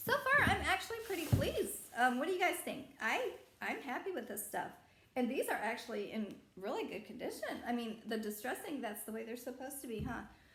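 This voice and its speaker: The speech is fairly quick, with very wide pitch swings. Noticeable background noise and audible room echo are present. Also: woman, high pitch for a woman. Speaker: reseller vlogger. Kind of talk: unboxing vlog. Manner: casual, hesitant with fillers.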